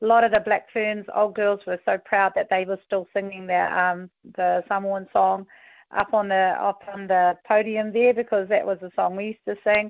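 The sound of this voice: At a moderate pace, a woman speaks at a medium pitch with little pitch movement, in a dry, close sound with no echo.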